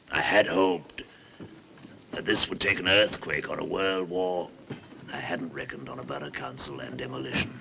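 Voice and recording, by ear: A man's put-on character voice, extremely low with a bright, sharp tone, fairly even intonation, moderate pace, long, frequent pauses and audible room echo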